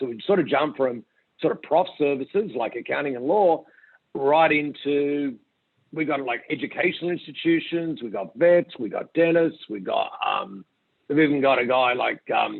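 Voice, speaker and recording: A man talks at a moderate pace in an Australian accent. His pitch is fairly high, with ordinary variation. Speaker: company founder and CEO. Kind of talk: interview.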